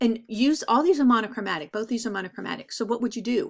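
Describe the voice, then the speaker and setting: In a very clean recording with a silent background, a woman with an ordinary speaking voice talks at a fairly high pitch with ordinary pitch variation. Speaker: art teacher. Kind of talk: recorded class lecture. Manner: casual, filler-heavy.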